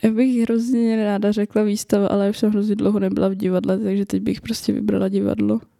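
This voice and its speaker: A woman at a fairly quick pace, with hardly any pauses and very even loudness. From northern Bohemia, Czechia (Roudnice nad Labem). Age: 20s. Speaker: podcast co-host and university student. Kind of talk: casual chat.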